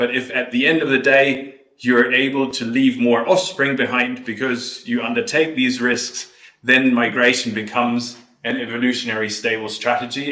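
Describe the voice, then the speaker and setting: Audible room echo surrounds a man with a German accent and a bright, sharp tone. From Germany. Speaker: ornithologist researcher. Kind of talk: lecture.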